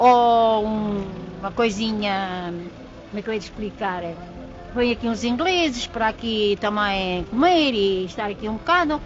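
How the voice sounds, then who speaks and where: Over background music, a woman talks at a fairly slow pace. Her pitch is fairly high and her intonation lively. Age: 80s+. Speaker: elderly villager. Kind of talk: casual storytelling.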